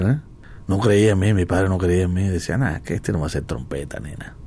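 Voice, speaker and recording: A man at a fairly quick pace. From Cuba. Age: 60s. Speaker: jazz trumpeter. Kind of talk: radio interview. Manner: halting.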